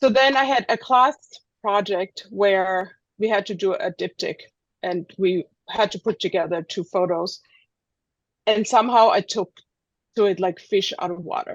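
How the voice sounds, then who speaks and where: Speaking with a German accent, a woman uses a medium pitch and ordinary pitch variation. Her pace is moderate, with long, frequent pauses. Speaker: street photographer. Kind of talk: presentation. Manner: halting.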